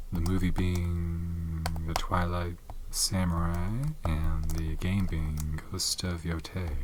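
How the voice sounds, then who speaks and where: Over noticeable background noise, a soft-spoken man talks very slowly in a monotone, flat way at a very deep, low pitch. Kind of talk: ASMR soft-spoken show and tell.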